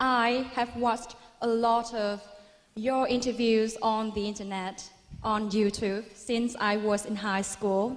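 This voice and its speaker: A woman with a Vietnamese accent speaks at a very slow pace, fairly high in pitch, with monotone, flat intonation. There is noticeable background noise. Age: 20s. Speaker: university student. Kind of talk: audience question. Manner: formal.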